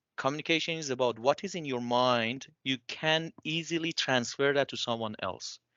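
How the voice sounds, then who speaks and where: A man with a non-native accent, at medium pitch and a moderate pace, with ordinary pitch variation and hardly any pauses. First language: not English. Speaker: bioengineering PhD graduate working in industry. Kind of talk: panel discussion. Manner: halting.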